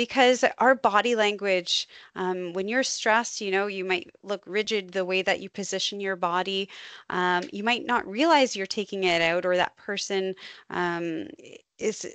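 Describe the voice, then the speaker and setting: A woman's unremarkable speaking voice, medium in pitch, with ordinary pitch variation at a moderate pace against a quiet background. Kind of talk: webinar lecture. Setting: online webinar.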